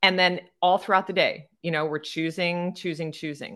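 Against a quiet background, a woman speaks in an unremarkable speaking voice at a fairly low pitch. She keeps a moderate pace with ordinary pitch variation. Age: 50s. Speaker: yoga and breathwork teacher, podcast co-host. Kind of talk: casual chat.

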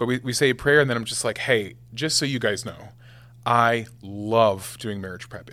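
This man has an ordinary speaking voice, pitched in the middle range, with ordinary pitch variation. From Nebraska, US Midwest. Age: 20s. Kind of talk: casual chat.

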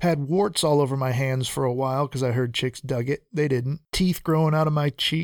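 At a fairly quick pace and with hardly any pauses, a man with a fairly high pitch keeps his loudness very even, the sound dry and close with no echo. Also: fairly even intonation. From southern Mexico, then upstate New York. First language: Spanish. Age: 40s. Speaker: podcaster. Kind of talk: comedic monologue.

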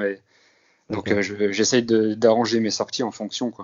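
This man speaks at a moderate pace. His voice sits fairly low in pitch. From northeastern France (Grand Est). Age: 30s. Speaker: amateur runner, security guard. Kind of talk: interview. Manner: halting.

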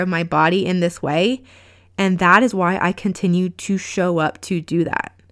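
A plain, everyday voice at a moderate pace with fairly even intonation, on a very clean recording with a silent background. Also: woman. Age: 30s. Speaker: podcast host and life coach. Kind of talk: pep talk. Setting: solo podcast recording. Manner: warm, earnest, encouraging.

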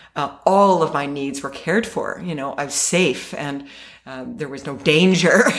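A woman's very deep, low-pitched voice with audible room echo. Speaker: storyteller. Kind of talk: personal storytelling; casual chat. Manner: halting.

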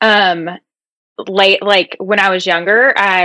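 A woman's bright, sharp voice with a slight Southern US accent, fairly even intonation and a dry, close sound with no echo. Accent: slight country (Southern US). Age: 30s. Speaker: health and fitness coach. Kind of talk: podcast interview.

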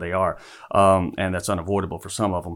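A man speaks with a Louisiana accent. His pitch is fairly low. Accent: Southern US (Louisiana). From US South, northern Louisiana. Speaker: school principal. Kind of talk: casual interview. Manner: halting, many fillers.

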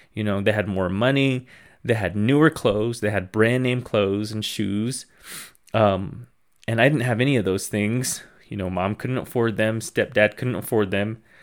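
Man with a plain, everyday voice, fairly low pitch, fairly even intonation and a moderate pace, in a very clean recording with a silent background. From Navajo Reservation, US Southwest. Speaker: podcast host. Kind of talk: casual monologue.

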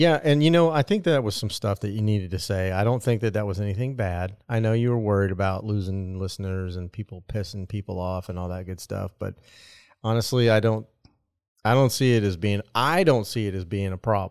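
A normal speaking voice at a fairly quick pace, with ordinary pitch variation and a very clean recording over a silent background. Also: man, fairly low pitch for a man. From US Midwest (Nebraska). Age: 40s. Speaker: podcast co-host. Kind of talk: casual chat.

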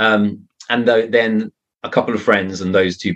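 Someone with a southern English accent talks at a moderate pace. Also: man. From England, Surrey. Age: 30s. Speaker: mystery author. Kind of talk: podcast interview.

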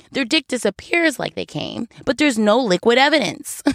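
An animated woman with vocal fry talks at a moderate pace in a very clean recording with a silent background, the sound dry and close with no echo. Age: 30s. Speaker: storyteller, former exotic dancer. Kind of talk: comedic monologue. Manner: animated, laughing often.

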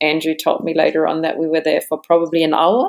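A woman speaks with a German accent. Her pitch is fairly low. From Germany. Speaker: yoga teacher and marine biologist. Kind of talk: interview about birth and yoga practice.

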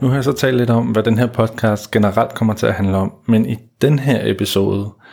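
Speaking at a fairly low pitch, a man keeps a moderate pace and fairly even intonation. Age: 30s. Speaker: dating coach and podcast host. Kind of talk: solo podcast monologue. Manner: hesitant, many fillers.

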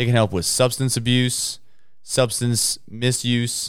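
On a very clean recording with a silent background, a man speaks at a moderate pace in a medium pitch, an unremarkable speaking voice. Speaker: podcast host. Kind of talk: casual banter podcast.

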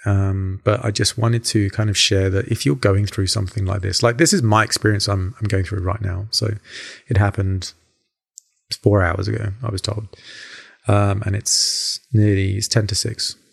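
This man talks at a moderate pace with fairly even intonation. His voice is fairly low in pitch and somewhat breathy. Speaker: podcaster, construction worker. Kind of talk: solo personal podcast monologue. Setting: home recording. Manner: casual, rambling, with many fillers.

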